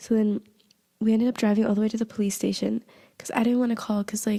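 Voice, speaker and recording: A woman speaks at a very fast pace in a fairly high pitch, her tone dark, mellow and somewhat breathy, with a dry, close sound and no echo. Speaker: podcast host. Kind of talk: casual storytelling podcast.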